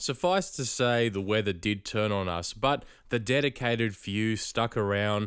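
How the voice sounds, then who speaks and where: A man with an Australian accent speaks at a fairly slow pace in a fairly low pitch with ordinary pitch variation. The recording is very clean, with a silent background. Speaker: podcast host. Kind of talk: casual chat; podcast monologue.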